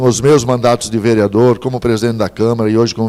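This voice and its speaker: This man has a plain, everyday voice at medium pitch and speaks at a fairly quick pace. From Santa Catarina, southern Brazil. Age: 60s. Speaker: mayoral candidate, politician. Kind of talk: political interview. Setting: TV studio, live broadcast.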